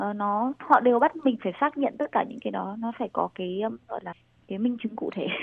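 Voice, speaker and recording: A woman talks at a fairly high pitch with ordinary pitch variation. Hers is a plain, everyday voice. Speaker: master's student in Taiwan. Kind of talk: interview.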